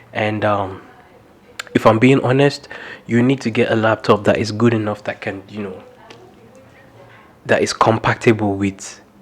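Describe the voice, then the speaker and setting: A man speaks at a fairly low pitch with long, frequent pauses. There is noticeable background noise. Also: fairly even intonation. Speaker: videographer vlogger. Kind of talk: casual tutorial vlog. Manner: fast.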